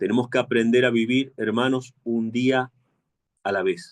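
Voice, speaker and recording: In an Argentine accent, a man speaks very slowly in a medium pitch. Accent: Argentine Spanish, kept. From Argentina. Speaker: preacher. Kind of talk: sermon.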